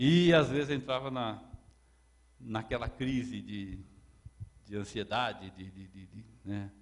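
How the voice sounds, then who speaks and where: The speaker talks at a very slow pace, with long, frequent pauses and ordinary pitch variation. Loudness swings widely, and the room echo is audible. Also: man, medium pitch for a man. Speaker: lecturer. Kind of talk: lecture. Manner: halting, repeats words; gets louder when excited.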